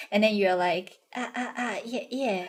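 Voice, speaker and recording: This woman has a fairly high voice and a Cantonese accent. Her pitch varies in an ordinary way. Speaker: vtuber streamer. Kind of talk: casual chat. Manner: halting, repeats words.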